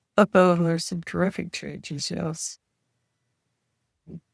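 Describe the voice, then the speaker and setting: A woman with a Canadian Prairie accent speaks at a fairly low pitch and a fairly slow pace. Her pitch varies in an ordinary way, and the sound is dry and close with no echo. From rural Saskatchewan, Canada. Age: 80s+. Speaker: retired farm wife. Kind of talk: interview answer.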